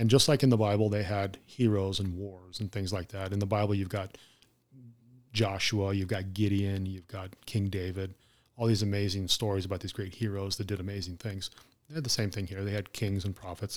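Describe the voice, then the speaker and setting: In a very clean recording with a silent background, a man with a Southwestern US accent speaks fairly quickly in a fairly low, flat monotone. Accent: American, Southwest. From Arizona, Mesa. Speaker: retired police officer. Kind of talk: casual chat.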